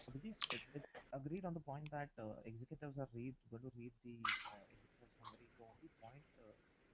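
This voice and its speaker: Soft-spoken, a man talks at a very fast pace with ordinary pitch variation and big swings in loudness. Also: medium pitch for a man. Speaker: webinar participant. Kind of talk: Q&A question. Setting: webinar. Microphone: too quiet.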